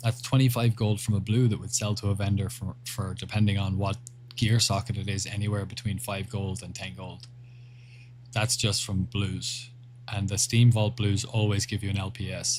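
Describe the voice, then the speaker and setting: A man talks at a moderate pace in a fairly low pitch. His voice is somewhat breathy. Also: fairly even intonation. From Ireland. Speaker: gaming livestreamer. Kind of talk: casual livestream chat reading viewer messages.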